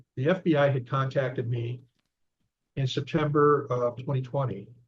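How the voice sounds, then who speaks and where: His voice has a somewhat breathy quality. The man talks at a moderate pace, his intonation fairly even. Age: 70s. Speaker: author and investigator. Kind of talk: interview. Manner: halting.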